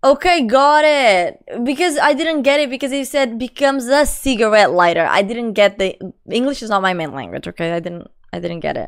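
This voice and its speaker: A high-pitched woman's voice in a Portuguese accent, fairly quick, with very wide pitch swings, on a very clean recording with a silent background. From Portugal. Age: 20s. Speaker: live streamer. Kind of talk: casual chat. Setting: live stream.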